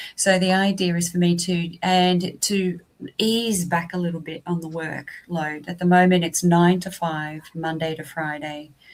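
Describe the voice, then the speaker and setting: With an Australian accent, a woman speaks fairly slowly in a fairly low, monotone, flat voice. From southeast Australia. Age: 50s. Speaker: vocational college teacher. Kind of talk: interview.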